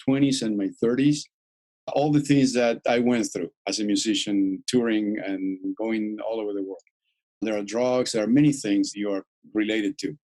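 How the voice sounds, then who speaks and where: Moderate pace and a dark, mellow tone from a male speaker. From Argentina. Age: 60s. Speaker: musician and energy medicine researcher. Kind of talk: podcast interview.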